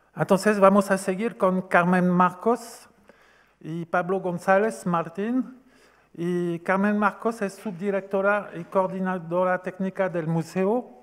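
A man's high-pitched voice with a strong French accent, very slow pace and fairly even intonation against a quiet background. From France. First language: French (speaking Spanish). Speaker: event organizer and moderator; event moderator. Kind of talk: event moderation; moderator introduction of speakers. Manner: halting. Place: hall. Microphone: podium.

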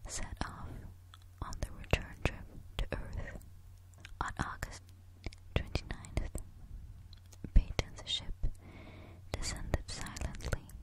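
Whispering at a very slow pace, the speaker leaves long, frequent pauses over noticeable background noise. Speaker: ASMR storyteller. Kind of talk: sleep story. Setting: close-mic home recording. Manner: whispered; soft, slow.

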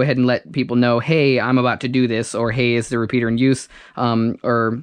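A man talking at a fairly quick pace, dry sound with no echo, quiet background. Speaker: new ham radio operator. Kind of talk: casual vlog chat. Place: home room. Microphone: phone near.

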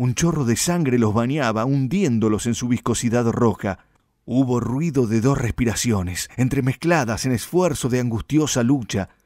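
A man at medium pitch, with an ordinary speaking voice, very even loudness and ordinary pitch variation. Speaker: audiobook narrator. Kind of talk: dramatic literary narration of a violent gaucho knife-fight tale. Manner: slow, suspenseful build toward a gory climax; voices rural gaucho dialogue in rustic speech.

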